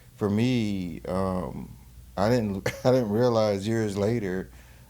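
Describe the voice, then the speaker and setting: There's audible room echo around a man speaking in a Carolina accent. His fairly low voice has a dark, mellow tone and ordinary pitch variation. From North Carolina, Greensboro. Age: 40s. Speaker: filmmaker. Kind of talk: casual chat.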